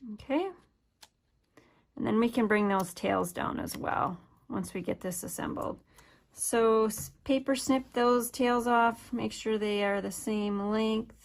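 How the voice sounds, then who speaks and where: A woman with a slight northern US accent speaks at a fairly high pitch and a fairly slow pace. Her pitch variation is ordinary, and the recording is very clean with a silent background. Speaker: craft demonstrator. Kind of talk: tutorial.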